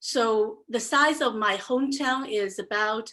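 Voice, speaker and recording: A woman with a Chinese accent is heard in a very clean recording with a silent background. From China, Xuzhou. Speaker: entrepreneur. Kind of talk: presentation talk.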